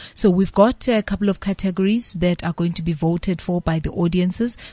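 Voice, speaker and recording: Recorded dry and close with no echo against a quiet background, a woman speaks somewhat breathily at a fairly low pitch with fairly even intonation. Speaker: film organisation CEO. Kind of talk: interview.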